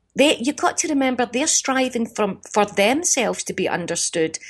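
Against a quiet background, a woman with a Glaswegian accent talks with lively intonation. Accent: Glaswegian Scottish. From Scotland, East End of Glasgow. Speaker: comedian. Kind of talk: interview.

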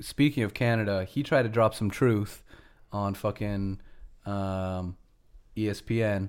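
The recording of this man with an American accent is very clean, with a silent background. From United States. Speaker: podcast co-host. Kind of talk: casual chat.

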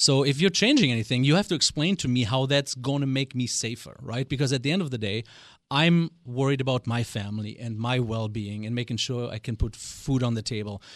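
A man with a German accent, at a medium pitch with ordinary pitch variation, at a fairly quick pace against a quiet background. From West Germany. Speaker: business coach. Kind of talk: radio interview. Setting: studio.

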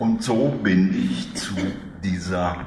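Audible room echo and noticeable background noise surround the speech. The speaker is a man. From East Germany. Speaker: author and economic historian. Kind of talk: public book talk.

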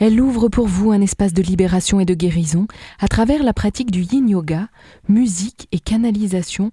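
Her dark, mellow tone is somewhat breathy as this woman speaks at a medium pitch and moderate pace with ordinary pitch variation, in a dry, close sound with no echo. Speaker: radio host. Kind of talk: radio events segment. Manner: put-on sensual voice.

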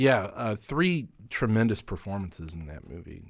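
A man speaks at a fairly slow pace. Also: very clean recording, silent background. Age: young. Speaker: film festival programmer and podcast co-host. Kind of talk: casual chat.

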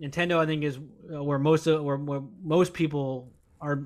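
In a very clean recording with a silent background, the speech runs at a fairly quick pace with monotone, flat intonation. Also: man. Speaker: podcast co-host. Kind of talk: casual chat.

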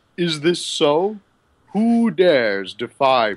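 A man puts on a character voice with a high pitch. He goes at a very slow pace, his pitch swinging very widely. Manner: menacing, commanding.

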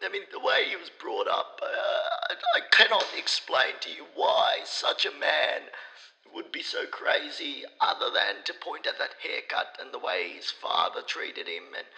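A man at an extremely high pitch, with lively intonation, big swings in loudness and a fairly slow pace over noticeable background noise. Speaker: professor. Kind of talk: interview.

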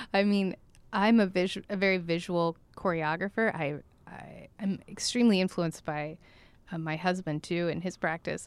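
Using an ordinary speaking voice, a woman with an American accent talks at a moderate pace and medium pitch, her intonation fairly even but her loudness swinging widely. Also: very clean recording, silent background. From Oklahoma (Tulsa). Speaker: dance choreographer. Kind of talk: casual interview chat. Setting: studio.

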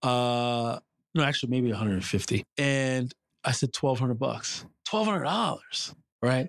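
A man with a New York accent speaks at medium pitch and a moderate pace. His loudness stays very even, and the sound is dry and close with no echo. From New York City. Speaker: business commentator and adjunct professor. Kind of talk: interview storytelling.

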